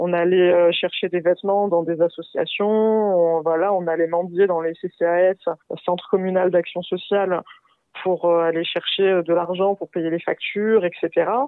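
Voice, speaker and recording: At a moderate pace, a woman with a fairly low pitch speaks. Her intonation is flat and monotone. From France, Paris suburbs (Val-de-Marne). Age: 20s. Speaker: podcast guest sharing life story. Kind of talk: testimony. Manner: casual, hesitant with many fillers.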